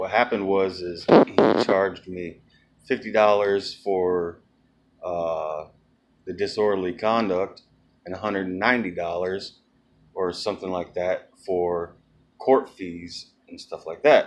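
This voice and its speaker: The speech has long, frequent pauses. Loudness swings widely. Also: man. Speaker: video blogger. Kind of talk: casual vlog update. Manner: halting.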